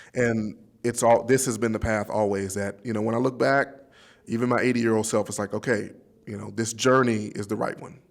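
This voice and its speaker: Fairly quick speech from a man with a Southern US accent, medium in pitch, with fairly even intonation. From Pine Bluff, Arkansas. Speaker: nuclear engineer, minister, candidate for governor. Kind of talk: interview answer.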